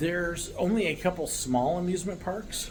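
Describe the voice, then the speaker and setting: Audible room echo hangs around this man as he talks with an American accent. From United States. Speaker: vlogger, American living abroad. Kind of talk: casual talk to camera. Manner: relaxed, many filler words.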